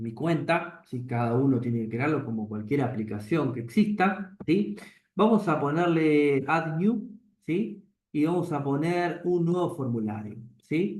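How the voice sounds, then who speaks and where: Fairly high-pitched man with lively intonation, a fairly slow pace and audible room echo. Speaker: programming teacher. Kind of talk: lecture.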